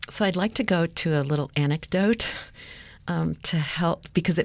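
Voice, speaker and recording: In a General American accent, a woman talks at a fairly slow pace with ordinary pitch variation. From US West (Los Angeles). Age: 60s. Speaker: retired academic advisor and volunteer. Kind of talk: interview, personal storytelling. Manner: hesitant, many fillers.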